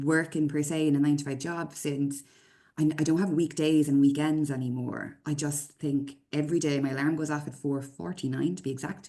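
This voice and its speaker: At a fairly quick pace, a woman speaks in a very deep, low pitch with a dark, mellow tone. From Ireland. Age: 30s. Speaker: construction consultant and business owner. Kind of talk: casual chat. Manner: animated.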